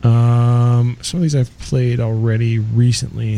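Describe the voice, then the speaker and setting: Relaxed, somewhat breathy male voice with a dark, mellow tone. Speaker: radio host. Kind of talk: radio DJ patter, introducing a song between tracks. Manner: casual, chatty, relaxed.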